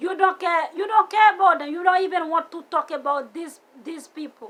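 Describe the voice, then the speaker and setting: At a moderate pace, a woman with a non-native accent speaks in an extremely high pitch, her tone animated and bright, sharp. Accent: foreign. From outside the US, came at seventeen. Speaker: vlogger. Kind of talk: personal vlog rant. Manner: animated, repetitive.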